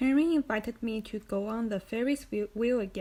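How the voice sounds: The speaker uses a natural reading voice, and the pitch moves an ordinary amount.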